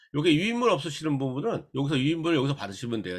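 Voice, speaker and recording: Rattling along at a very fast pace, a man speaks with a fairly high pitch. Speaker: school career counselor. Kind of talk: lecture. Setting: online remote lecture.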